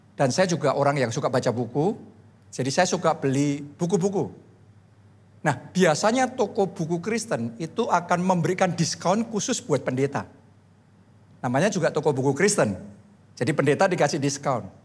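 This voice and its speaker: A man with a fairly high voice sounds animated, his intonation lively, his pace moderate and his loudness very even. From Central Java, Solo; Central Java. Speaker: pastor. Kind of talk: sermon. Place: church. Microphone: handheld.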